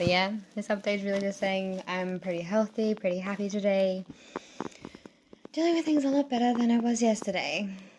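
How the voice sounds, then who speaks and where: Amid noticeable background noise, a woman at a medium pitch talks at a fairly quick pace with ordinary pitch variation and long, frequent pauses. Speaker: vlogger. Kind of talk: casual vlog monologue. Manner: fast.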